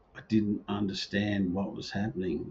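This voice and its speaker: A somewhat breathy voice with an Australian accent speaks at a fairly slow pace. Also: man. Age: 60s. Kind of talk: personal video talk to camera.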